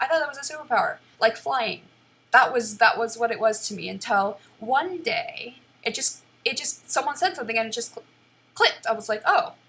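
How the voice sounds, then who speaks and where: A woman speaks loudly at a fairly quick pace, her high-pitched voice rising and falling in a lively way. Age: 20s. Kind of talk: personal vlog monologue, unscripted. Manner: halting, with many restarts and repeated words.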